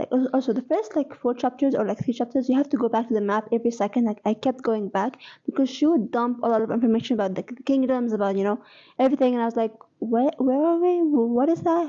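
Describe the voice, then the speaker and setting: Talking at a very fast pace, a woman with an Arabic accent speaks in a high pitch with ordinary pitch variation. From Egypt. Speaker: book vlogger. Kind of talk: casual reading vlog. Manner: hesitant, many fillers and restarts.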